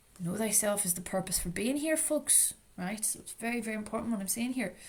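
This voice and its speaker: A woman with a Northern Irish accent speaks in a fairly high voice. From Northern Ireland, Strabane. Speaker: trauma recovery educator. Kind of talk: lecture. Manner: loud.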